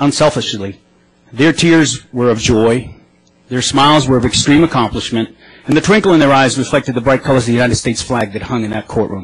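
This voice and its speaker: A man with an American accent talks at a very fast pace and medium pitch, with ordinary pitch variation. His voice is somewhat breathy. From Boston area, US. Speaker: advocacy group advisory board member. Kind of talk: legislative testimony. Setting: legislative committee hearing. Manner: formal.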